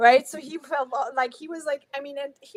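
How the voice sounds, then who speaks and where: A woman talks at a moderate pace with a German accent. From Germany. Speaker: guest on inspirational talk show. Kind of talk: interview storytelling.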